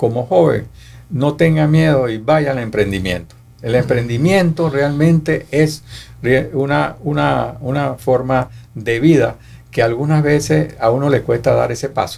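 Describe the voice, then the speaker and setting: Very wide pitch swings from a man, delivered fairly slowly. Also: medium pitch for a man. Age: 80s+. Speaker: economist and author. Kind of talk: interview. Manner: halting, many fillers.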